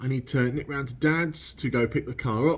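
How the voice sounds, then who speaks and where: In a very clean recording with a silent background, a somewhat breathy voice speaks with an English accent. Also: man. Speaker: car vlogger. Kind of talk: casual vlog. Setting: garage.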